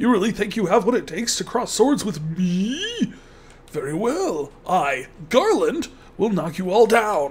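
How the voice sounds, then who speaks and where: A put-on character voice at a fairly high pitch comes through over clear background noise. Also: moderate pace. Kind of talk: comic overacting villain reading. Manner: pompous, boastful.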